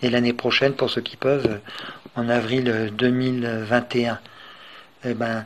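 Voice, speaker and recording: A man's medium-pitched voice in a monotone, flat intonation, with long, frequent pauses. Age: 60s. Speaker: retired cook and veteran ultramarathon runner. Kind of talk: personal testimony. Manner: hesitant, many filler sounds.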